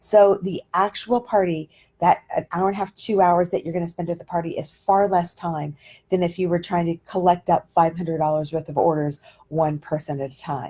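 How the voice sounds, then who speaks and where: Her voice sits at a fairly low pitch for a woman, dark and mellow, somewhat breathy, with fairly even intonation. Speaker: direct sales trainer. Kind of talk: training talk on Facebook Live. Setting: livestream. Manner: fast.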